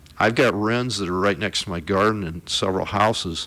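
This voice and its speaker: Fairly low-pitched man with an American accent at a moderate pace. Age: 60s. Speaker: conservation expert, hunter. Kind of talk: radio interview. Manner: casual, conversational.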